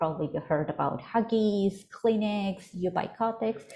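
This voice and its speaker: In an Ecuadorian accent, a woman talks at a moderate pace with ordinary pitch variation and a somewhat breathy voice. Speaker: startup program coordinator and pitch coach. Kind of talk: webinar presentation. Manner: halting, many fillers.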